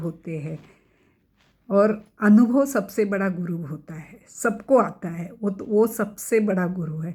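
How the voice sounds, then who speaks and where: A woman talks at a medium pitch with a somewhat breathy voice. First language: Marathi (speaking Hindi). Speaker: cancer survivor sharing her story. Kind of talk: personal testimony. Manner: halting, many fillers.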